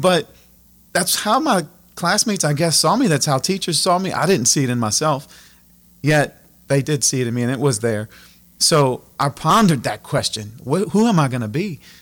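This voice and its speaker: With a south Louisiana accent, a man speaks at a fairly high pitch, his voice making very wide pitch swings. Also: moderate pace, very clean recording, silent background. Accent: south Louisiana Cajun English. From Louisiana, Acadiana (Abbeville). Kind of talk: casual interview.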